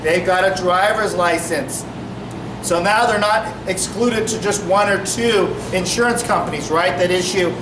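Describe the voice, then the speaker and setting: His intonation fairly even, a man talks in a room with audible echo and noticeable background noise. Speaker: police officer. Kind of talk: community meeting talk.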